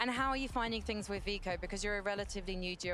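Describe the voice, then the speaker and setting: The speaker talks with a London accent. Music plays in the background, and the room echo is audible. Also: woman. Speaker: esports interviewer. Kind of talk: post-match interview.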